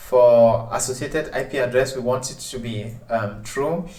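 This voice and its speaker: Somewhat breathy, a man talks at a medium pitch with audible room echo. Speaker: tech tutorial presenter. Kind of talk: tutorial. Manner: hesitant, many filler sounds.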